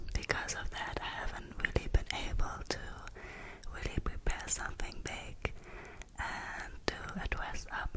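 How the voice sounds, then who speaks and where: Fairly slow whispering amid noticeable background noise. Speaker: ASMR creator. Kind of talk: casual talk to camera. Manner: whispered.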